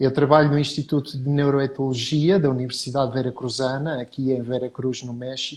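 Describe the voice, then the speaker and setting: In a monotone, flat delivery, a man talks at a moderate pace in a medium pitch. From Portugal. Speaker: professor. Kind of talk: interview.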